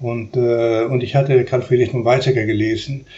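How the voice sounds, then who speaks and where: A man with a Spanish accent, medium in pitch, monotone and flat, at a moderate pace. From Uruguay. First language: Spanish (speaking German). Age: 70s. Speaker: philosophy professor. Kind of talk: interview. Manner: halting.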